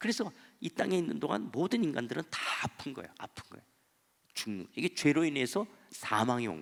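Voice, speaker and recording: A man talks at a fairly quick pace with a fairly high pitch, very wide pitch swings and vocal fry. His loudness swings widely, and he leaves long, frequent pauses. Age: 60s. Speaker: pastor. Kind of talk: sermon.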